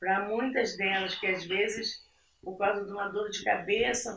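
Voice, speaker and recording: With ordinary pitch variation and a medium pitch, the woman talks at a very slow pace. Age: 60s. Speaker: churchgoing mother. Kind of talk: casual chat.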